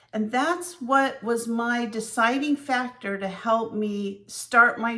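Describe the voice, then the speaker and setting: A fairly high-pitched woman's voice, very slow yet with hardly any pauses, over noticeable background noise. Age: 60s. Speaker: vlogger. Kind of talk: personal vlog. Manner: conversational.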